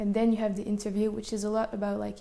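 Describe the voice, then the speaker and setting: A woman with a French accent speaks at a fairly high pitch with monotone, flat intonation. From France, Paris. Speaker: architecture and engineering student. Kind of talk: interview. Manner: casual, many fillers.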